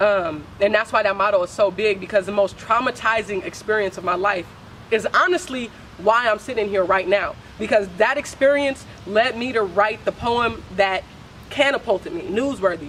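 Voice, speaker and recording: With noticeable background noise around her, a woman speaks at a moderate pace, her fairly high pitch showing ordinary variation. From San Francisco Bay Area. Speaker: spoken word poet. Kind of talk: interview. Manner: casual, halting.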